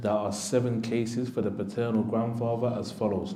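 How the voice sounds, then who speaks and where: A man with an unremarkable speaking voice talks at a moderate pace and medium pitch, with fairly even intonation. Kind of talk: reading aloud from a text on inheritance law.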